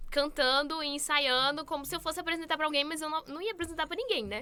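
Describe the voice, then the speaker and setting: A woman projects her raised voice at an extremely high pitch with a bright, sharp tone. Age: 20s. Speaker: beauty pageant contestant. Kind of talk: interview.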